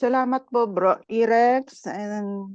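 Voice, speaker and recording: The recording is close and dry, with no echo. The speaker is a woman. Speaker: overseas Filipino worker. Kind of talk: casual chat. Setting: video call.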